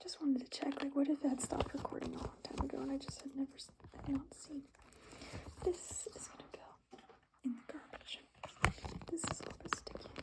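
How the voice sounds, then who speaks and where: A whispered voice at a fairly quick pace, broken by long, frequent pauses. Background noise is noticeable. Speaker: ASMR creator. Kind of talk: ASMR soft-spoken rambling. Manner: soft-spoken, casual, rambling.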